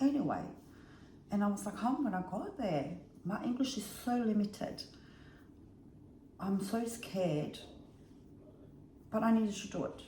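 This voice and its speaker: Someone speaks at a moderate pace with lively intonation and long, frequent pauses, over noticeable background noise and audible room echo. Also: woman, fairly high pitch for a woman. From Bosnia. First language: Bosnian. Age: 50s. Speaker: vlogger. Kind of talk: casual storytelling vlog.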